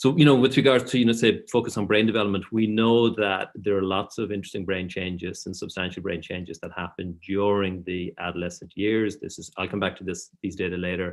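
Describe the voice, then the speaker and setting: A man with an Irish accent speaks at a fairly quick pace with hardly any pauses. His fairly low voice has ordinary pitch variation and big swings in loudness. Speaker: professor. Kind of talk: lecture. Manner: hesitant fillers.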